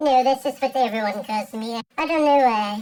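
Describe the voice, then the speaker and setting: A female-sounding voice is pitched high. It is a put-on character voice. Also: moderate pace. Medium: solo performance.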